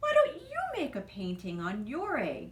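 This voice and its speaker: A woman speaks in a put-on character voice at a moderate pace. Light background noise sits behind her. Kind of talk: bedtime story. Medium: read story.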